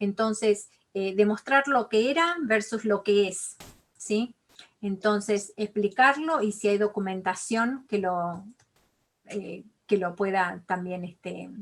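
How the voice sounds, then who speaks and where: Speaking at a very slow pace with long, frequent pauses, a woman with an Argentine accent keeps a medium pitch and ordinary pitch variation. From Argentina. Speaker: college financial aid advisor. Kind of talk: online interview.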